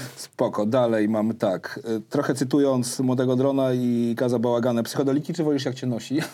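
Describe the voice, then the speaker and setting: At a fairly quick pace, a man speaks with fairly even intonation and a medium pitch. He has an unremarkable speaking voice. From Warsaw, Poland. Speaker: podcast host and rapper. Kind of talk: casual interview chat; podcast outro.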